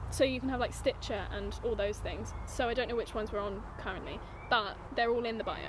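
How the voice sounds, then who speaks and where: Speaking fairly quickly with an English accent, a woman is heard with audible room echo. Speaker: podcast co-host. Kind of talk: casual chat. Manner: animated.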